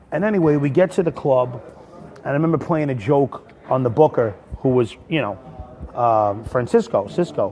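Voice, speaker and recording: With noticeable background noise, a man in an American accent speaks at a moderate pace, his medium pitch moving in lively intonation. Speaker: stand-up comedian. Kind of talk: storytelling in a casual livestream. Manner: rambling, with many fillers.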